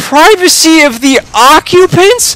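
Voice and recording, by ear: Using a put-on character voice, a man speaks slowly at an extremely high pitch, with a fairly bright tone and lively intonation.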